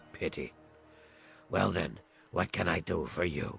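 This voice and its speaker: Over clear music in the background, a man puts on a raspy character voice at a very deep, low pitch, speaking at a moderate pace. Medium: video game. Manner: measured, clinical.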